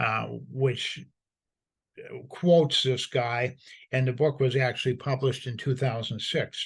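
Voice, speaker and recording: A somewhat breathy man's voice at a medium pitch, fairly slow and fairly even in intonation, with long, frequent pauses. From United States. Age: 70s. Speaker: commentator. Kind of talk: monologue commentary.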